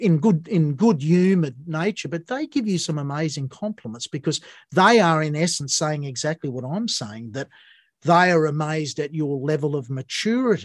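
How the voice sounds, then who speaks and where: With a quiet background and a dry, close sound without echo, a man with an Australian accent speaks at a moderate pace in a fairly high pitch, his intonation lively. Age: 60s. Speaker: podcast host, musician. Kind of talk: interview conversation.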